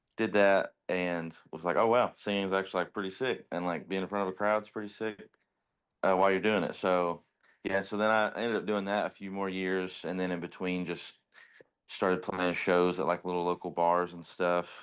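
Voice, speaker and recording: Against a quiet background, someone with a Kentucky accent speaks at a moderate pace in a monotone, flat intonation. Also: man. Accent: Kentucky country. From Eastern Kentucky, US. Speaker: musician in a band. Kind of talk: casual interview.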